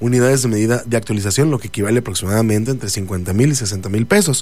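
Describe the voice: The pace is fast. The tone is slightly mellow. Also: man.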